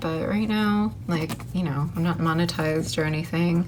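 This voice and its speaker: A woman speaks in a relaxed tone, with noticeable background noise and audible room echo. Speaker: crafts YouTuber. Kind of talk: tutorial. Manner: casual, relaxed.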